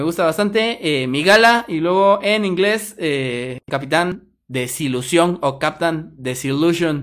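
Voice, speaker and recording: A man speaks very slowly at a high pitch with lively intonation. His tone is bright and sharp on a very clean recording with a silent background. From Guatemala. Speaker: podcast host. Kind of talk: casual chat. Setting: live stream.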